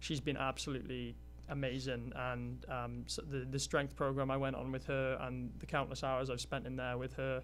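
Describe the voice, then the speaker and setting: A man talks at a moderate pace with a Welsh accent. Music plays behind him, and the room echo is audible. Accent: Welsh, still noticeable. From Wales. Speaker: college athlete. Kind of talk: interview. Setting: studio. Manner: halting, many fillers.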